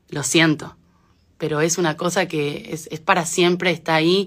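A woman with an Argentine accent speaks at a fairly slow pace in a very deep, low pitch. Her intonation is monotone and flat, over a quiet background. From Argentina, moved to Spain at age 9. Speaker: singer. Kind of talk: casual talk in an Instagram live. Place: home room. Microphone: phone near.

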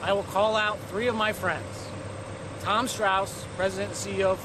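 At a moderate pace, a man talks in a high pitch over noticeable background noise. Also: dry sound with no echo. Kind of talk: charity challenge appeal to camera. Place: street.

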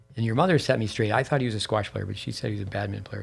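Faint music plays behind a man whose fairly low voice shows ordinary pitch variation. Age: 60s. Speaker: tennis coach and podcast host; tennis coach, podcast host. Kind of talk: casual interview. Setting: studio at a tennis center. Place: studio. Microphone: studio mic.

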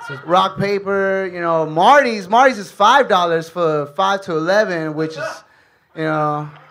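The voice carries an American accent and moves at a fairly slow pace. Light background noise sits behind it. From Los Angeles, Guatemalan parents. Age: 20s. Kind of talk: stand-up. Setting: stage with audience. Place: stage.

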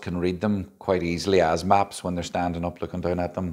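The background stays quiet while a man talks. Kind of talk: casual video diary talk. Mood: relaxed, lightly amused. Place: hall.

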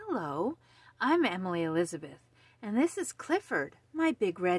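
A natural voice, reading aloud.

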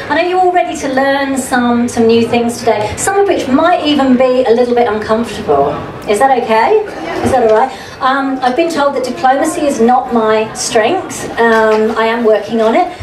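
At a moderate pace, a woman speaks at a high pitch over noticeable background noise. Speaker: journalist, media coach. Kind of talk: lecture. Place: tent.

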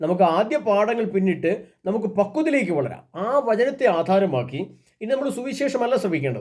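A man talks in a high voice. His pitch swings very widely. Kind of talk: religious sermon and event announcement. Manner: halting.

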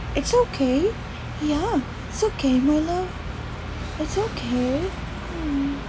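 A woman speaks, leaving long, frequent pauses. Background noise is noticeable. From Philippines. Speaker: livestreamer. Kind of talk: casual chat. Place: home room. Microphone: phone near.

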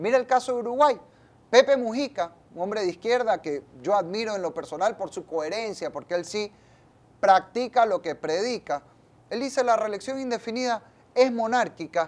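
Lively intonation marks this man's high voice. He speaks at a moderate pace. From Ecuador, Guayaquil; Ecuador. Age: 30s. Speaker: politician, national assembly member; politician. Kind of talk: interview. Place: studio. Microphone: lapel.

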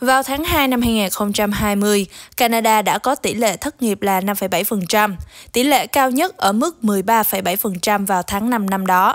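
Speaking very slowly, a woman uses a fairly high pitch with ordinary pitch variation on a very clean recording with a silent background. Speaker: news editor and co-anchor. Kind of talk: news reading. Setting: studio. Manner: formal.

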